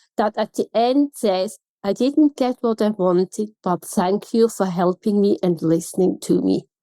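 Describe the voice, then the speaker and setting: Recorded with a dry, close sound and no echo, a woman speaks in a Swiss German accent. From Switzerland. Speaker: customer experience consultant. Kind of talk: podcast interview.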